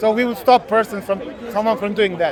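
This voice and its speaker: A man with a Bosnian accent talks at a fairly quick pace. His pitch is high, and crowd noise fills the background. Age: 30s. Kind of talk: street debate. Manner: halting.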